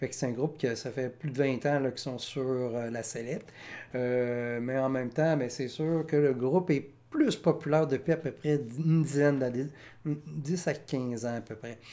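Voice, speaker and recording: In a very clean recording with a silent background, a man speaks in a dark, mellow tone with fairly even intonation. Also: medium pitch for a man, moderate pace. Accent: Quebec. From Quebec. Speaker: music reaction youtuber. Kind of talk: casual commentary. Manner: hesitant, many fillers.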